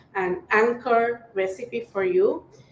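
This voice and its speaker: Over noticeable background noise, a woman with a Spanish accent talks very slowly in a high pitch, swinging very widely up and down. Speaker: cooking teacher. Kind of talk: live-streamed cooking workshop. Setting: live stream. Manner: casual with fillers.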